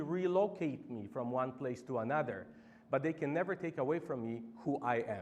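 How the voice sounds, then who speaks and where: In a Polish accent, a man with vocal fry speaks at a moderate pace, his pitch swinging very widely. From Poland. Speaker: campaign organizer. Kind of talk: public speech.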